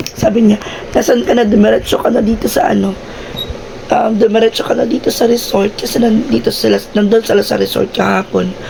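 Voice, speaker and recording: A woman talks at a fairly quick pace. Noticeable background noise is audible behind her. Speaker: vlogger. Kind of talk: casual vlog chat. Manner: animated.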